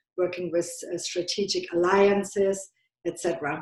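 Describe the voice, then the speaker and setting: Speaking at a fairly slow pace, a woman has a slight German accent. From Germany. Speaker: business consultant. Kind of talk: podcast interview. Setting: call.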